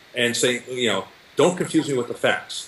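A man talks in a fairly high pitch as noticeable background noise carries on behind him. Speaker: nutrition researcher and diet book author. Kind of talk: interview.

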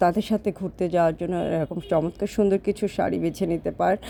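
A woman's fairly low, vocal-fried voice with fairly even intonation. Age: 40s. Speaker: vlogger and online saree seller. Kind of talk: casual vlog monologue. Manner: rambling, loosely organized.

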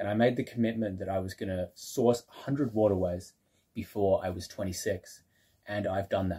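Against a quiet background, a man speaks with a dark, mellow tone, a somewhat breathy quality, and ordinary pitch variation. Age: 20s. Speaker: YouTuber exploring waterways; channel host. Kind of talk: casual vlog announcement. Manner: hesitant with many fillers. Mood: proud, reflective. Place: home room. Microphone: phone near.

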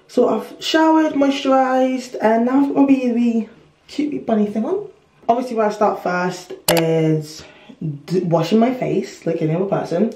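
At a moderate pace, a woman speaks at a fairly high pitch with very wide pitch swings, over light background noise and audible room echo. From London, UK. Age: 20s. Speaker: lifestyle vlogger. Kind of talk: casual vlog talk to camera.

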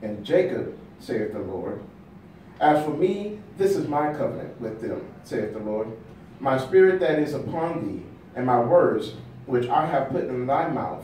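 Amid light background noise and audible room echo, a man speaks at a moderate pace with lively intonation. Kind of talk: scripture reading. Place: meeting room.

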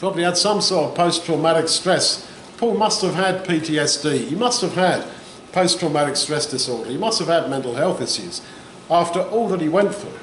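Audible room echo and light background noise accompany a voice speaking at a moderate pace with ordinary pitch variation. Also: man. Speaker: bible teacher. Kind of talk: sermon. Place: hall.

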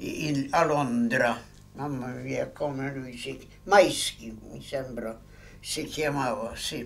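Big swings in loudness mark a man's very slow speech in a Polish accent. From Poland. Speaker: war veteran. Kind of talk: interview answer. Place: home room.

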